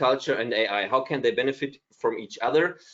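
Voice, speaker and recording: With a plain, everyday voice, a man talks at a moderate pace and a medium pitch. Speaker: artist and AI ethics consultant. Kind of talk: lecture. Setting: video call.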